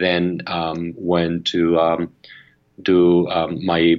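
A man talks with a Spanish accent. His voice is very deep and low in pitch. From Argentina. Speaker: media company founder and CEO. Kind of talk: interview. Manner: halting, many fillers and repetitions.

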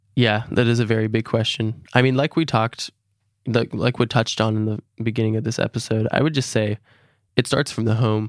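Recorded very cleanly, dry and close with no echo over a silent background, a man speaks in an unremarkable speaking voice at a medium pitch with fairly even intonation. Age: young. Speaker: college student. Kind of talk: interview.

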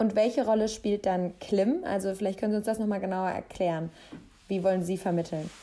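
At a fairly quick pace, a woman with a medium pitch and a dark, mellow tone talks with fairly even intonation. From western Germany (Mainz, Cologne). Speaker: podcast host. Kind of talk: interview.

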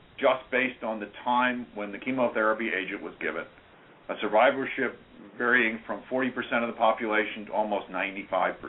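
Using a plain, everyday voice, a man talks at a moderate pace with medium pitch and fairly even intonation. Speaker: biomedical professor and researcher. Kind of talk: interview.

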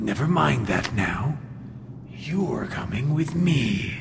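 A man at medium pitch and a very slow pace, over loud background noise. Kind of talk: 1940s radio hero. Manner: solemn, portentous.

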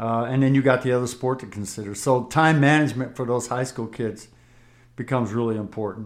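Medium in pitch, a man speaks at a fairly quick pace with an American accent. He has a plain, everyday voice. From US West Coast. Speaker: basketball coach. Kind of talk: casual chat.

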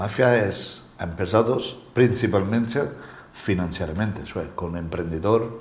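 A man at a very slow pace, with audible room echo. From Calabria, southern Italy. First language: Italian (speaking Spanish). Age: 60s. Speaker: interviewee, alleged mafioso businessman. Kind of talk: interview. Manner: halting.

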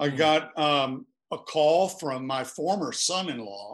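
Against a quiet background, the speaker has an unremarkable speaking voice with an American accent and lively intonation. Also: man. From US Appalachia, Virginia. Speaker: author. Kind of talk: casual interview.

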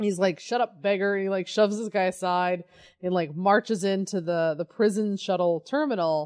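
In an ordinary speaking voice, a woman with an American accent talks at a medium pitch with ordinary pitch variation against a quiet background. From Colorado. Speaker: podcast co-host. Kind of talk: casual chat.

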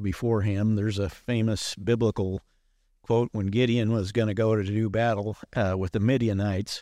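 A man with an American accent speaks at a fairly low pitch and moderate pace, with a dark, mellow tone and fairly even intonation. The recording is very clean, with a silent background and a dry, close sound with no echo. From US Midwest. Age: 70s. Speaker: surgeon. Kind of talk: casual interview. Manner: halting, many fillers.

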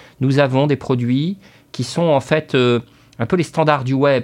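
Fairly even intonation at a moderate pace. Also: man. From northern France, Dunkirk area. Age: 40s. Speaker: CEO of a mortgage broker. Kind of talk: interview. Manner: halting, many repetitions.

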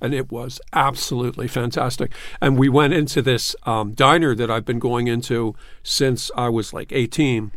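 A man speaks with a Philadelphia accent at a medium pitch. His pace is moderate and his intonation fairly even. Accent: Philadelphia American English. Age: 60s. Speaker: newspaper columnist. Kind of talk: casual chat. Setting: studio.

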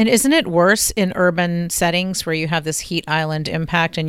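A woman speaks at a moderate pace in a fairly low pitch, with a plain, everyday voice. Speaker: energy industry co-host.

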